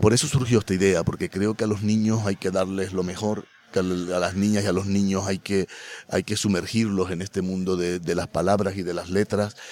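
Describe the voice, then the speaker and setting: A man's fairly low voice, monotone and flat, at a moderate pace. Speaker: festival director and university lecturer. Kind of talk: interview. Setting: on location at a festival.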